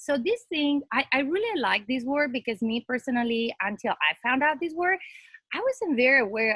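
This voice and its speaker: A woman with a non-native accent is heard in a dry, close sound with no echo. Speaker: academic panelist. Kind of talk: presentation with slides.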